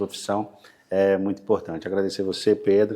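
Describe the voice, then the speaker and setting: On a very clean recording with a silent background, a man speaks in a fairly low pitch with a dark, mellow tone. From Brazil, northern Bahia. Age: 40s. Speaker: real estate broker. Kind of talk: podcast interview.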